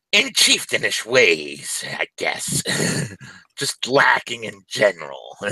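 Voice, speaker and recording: A man performs a put-on character voice. He speaks at a fairly slow pace. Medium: actual play. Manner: sly, wheedling.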